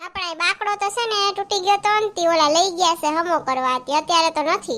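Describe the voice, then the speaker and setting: A woman's put-on character voice, squeaky and extremely high-pitched, at a fairly quick pace with ordinary pitch variation. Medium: comedy sketch. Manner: chatty, easygoing.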